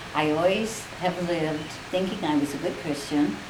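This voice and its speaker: With audible room echo and noticeable background noise, a woman speaks at a moderate pace in a fairly low pitch with ordinary pitch variation. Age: 70s. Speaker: grandmother being interviewed. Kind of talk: interview, personal reflection.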